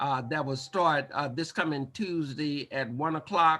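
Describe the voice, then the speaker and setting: Speaking at a fairly slow pace, a man has a plain, everyday voice, fairly high in pitch with ordinary variation. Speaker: meeting chair. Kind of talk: online community meeting.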